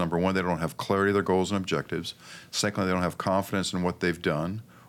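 A man's very deep, low-pitched voice with an American accent is captured on a very clean recording against a silent background. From Pakistan then Northern California. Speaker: financial planner and salesman. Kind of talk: casual interview.

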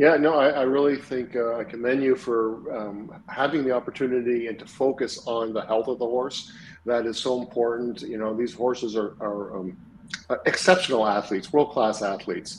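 Over noticeable background noise, a man speaks at a moderate pace in a medium pitch with ordinary pitch variation. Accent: Canadian. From Montreal, Canada. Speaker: equine veterinarian. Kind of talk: interview.

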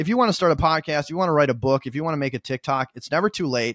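Talking very fast in an American accent, a man with a fairly high pitch and ordinary pitch variation comes through dry and close with no echo, on a very clean recording with a silent background. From US Midwest, Minnesota. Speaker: community director. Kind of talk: podcast interview.

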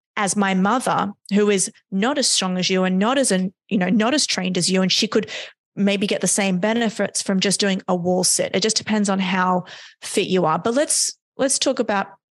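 A woman speaks with an Australian accent at a medium pitch. Her pace is moderate and the background is quiet. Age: 30s. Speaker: neuroscience performance coach. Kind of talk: interview.

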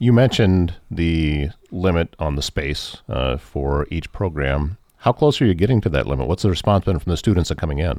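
Speaking at a fairly quick pace with an American accent, the voice has vocal fry and lively intonation. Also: man, very deep, low pitch for a man. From northwest Iowa. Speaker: podcast host. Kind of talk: interview. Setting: studio.

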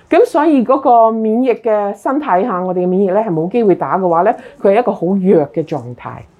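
A woman speaks at a moderate pace and medium pitch. Her tone is animated, with lively intonation. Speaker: health talk presenter. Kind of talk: health talk to a live and Zoom audience.

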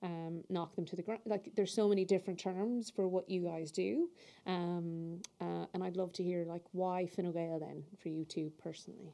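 This voice, with an Irish accent, has a dark, mellow tone and fairly even intonation at a moderate pace. The background is quiet. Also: woman, fairly low pitch for a woman. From South Mayo, Ireland. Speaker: podcast host and politician. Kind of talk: scripted outro; podcast interview.

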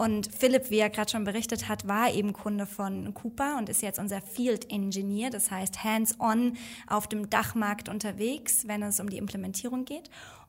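In an unremarkable speaking voice, someone talks at a moderate pace with hardly any pauses. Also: woman, fairly high pitch for a woman. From Germany. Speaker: marketing staff and podcast host. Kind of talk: casual chat.

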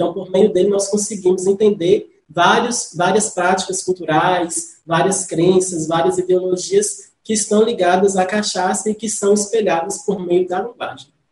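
A man's high-pitched voice with monotone, flat intonation. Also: fairly slow pace, hardly any pauses. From northern Minas Gerais, Brazil (Salinas area). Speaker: linguistics researcher and teacher. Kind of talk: interview.

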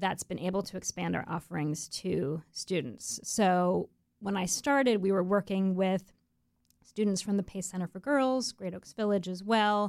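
A woman with an American accent talks in a normal speaking voice at medium pitch and a moderate pace. Her pitch varies in an ordinary way, and the recording is very clean with a silent background. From Florida, US. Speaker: nonprofit executive director. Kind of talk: interview. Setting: studio.

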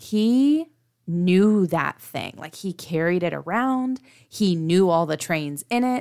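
The intonation is lively. The pace is very slow. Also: woman, medium pitch for a woman, very clean recording, silent background. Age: 30s. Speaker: podcast co-host, mother of three. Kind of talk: casual chat.

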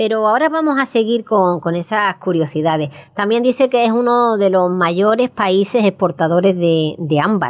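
A woman's medium-pitched voice at a moderate pace, very even in loudness, with lively intonation. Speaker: radio host. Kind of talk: radio magazine chat. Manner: halting, repeats words.

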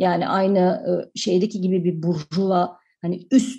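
Somewhat breathy, a woman speaks in a dark, mellow tone. Her intonation is fairly even. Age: 40s. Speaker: film director. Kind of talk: radio interview. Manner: halting, many fillers.

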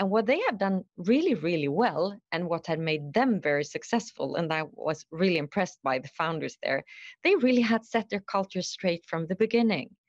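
A woman's normal speaking voice at medium pitch, with lively intonation and a moderate pace in a dry, close sound with no echo. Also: hardly any pauses, quiet background. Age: 50s. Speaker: HR executive. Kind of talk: interview.

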